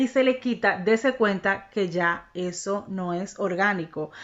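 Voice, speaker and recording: A woman with an animated tone. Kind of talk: religious teaching monologue.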